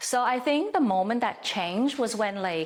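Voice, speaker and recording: A woman with a non-native accent speaks at a moderate pace. Her pitch is fairly high. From outside the US, moved to US at 13. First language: not English. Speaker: partner dancer. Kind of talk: casual interview chat.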